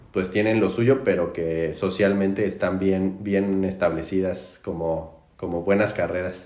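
Amid audible room echo, a man with a very deep, low pitch and a dark, mellow tone speaks at a fairly slow pace with fairly even intonation. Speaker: podcast host. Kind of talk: casual chat. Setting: in-person studio recording. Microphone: distorted backup recording.

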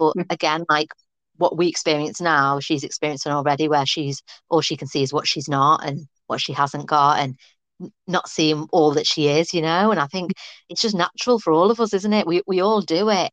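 A woman's very deep, low voice with ordinary pitch variation, at a moderate pace against a quiet background. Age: 30s. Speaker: podcast host. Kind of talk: casual chat.

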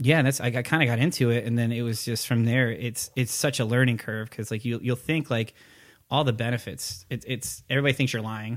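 A man speaks fairly quickly in an ordinary speaking voice at a medium pitch, with fairly even intonation. The recording is very clean, with a silent background. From Connecticut, US. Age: 30s. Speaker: army recruiter. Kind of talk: casual chat.

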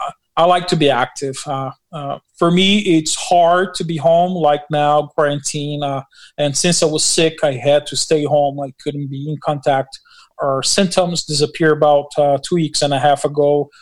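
In a Portuguese accent, a man speaks with a fairly high pitch. His intonation is fairly even and his pace moderate. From Brazil. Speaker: pastor and construction worker. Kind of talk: interview. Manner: halting.

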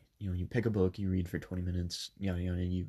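Over a silent background in a very clean recording, a man speaks with a very deep, low pitch and a somewhat breathy voice. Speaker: podcast host. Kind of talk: personal storytelling. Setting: home bedroom. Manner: casual, many filler ums.

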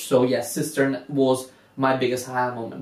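A man talks at a moderate pace with a non-native accent and a medium pitch. Noticeable background noise runs behind him. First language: not English. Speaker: podcast host's husband, first-time gamer. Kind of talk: casual chat. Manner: halting, many fillers.

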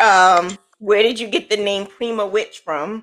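Bright and sharp in tone, a woman's fairly high voice holds a fairly even intonation. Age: 40s. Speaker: podcast host. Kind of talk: casual interview chat.

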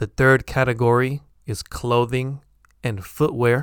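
A man in a General American accent speaks at a fairly slow pace and medium pitch, with fairly even intonation. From San Francisco, California. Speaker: English teacher podcaster. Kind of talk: tutorial, pronunciation lesson. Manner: clear, slow, deliberate.

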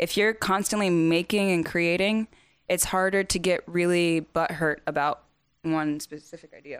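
In a very clean recording with a silent background, a woman with an American accent speaks in a plain, everyday voice at a fairly low pitch, at a moderate pace with fairly even intonation. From US South. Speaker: musician and producer. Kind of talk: casual chat. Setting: home kitchen.

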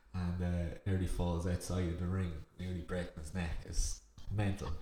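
In an Irish accent, a man with a very deep, low pitch talks at a moderate pace, somewhat breathy, with fairly even intonation. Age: 30s. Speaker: podcast co-host. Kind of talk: casual chat.

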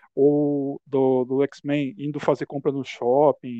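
At a very slow pace, a man speaks with medium pitch. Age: 40s. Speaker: podcast host. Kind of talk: casual interview chat.

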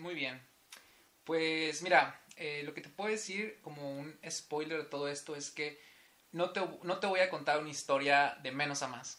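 Against noticeable background noise, a man with a fairly high voice speaks fairly slowly, with fairly even intonation but big swings in loudness. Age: 20s. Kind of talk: casual interview, faith testimony.

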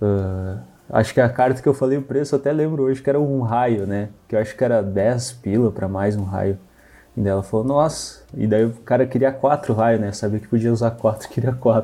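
A man with a dark, mellow tone, a fairly quick pace and ordinary pitch variation. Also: medium pitch for a man. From Rio Grande do Sul, Brazil (Santa Maria). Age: 20s. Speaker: card game player. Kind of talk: casual chat.

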